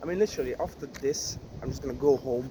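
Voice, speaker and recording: A man with a Hungarian accent speaks at a moderate pace. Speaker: vlogger. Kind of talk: vlog monologue. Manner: halting.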